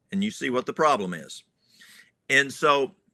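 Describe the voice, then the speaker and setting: A bright, sharp tone with a strong Southern US accent, very wide pitch swings and a moderate pace, dry and close with no echo, on a very clean recording with a silent background. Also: man. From US South. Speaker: natural remedies health educator. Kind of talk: podcast interview. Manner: folksy, conversational.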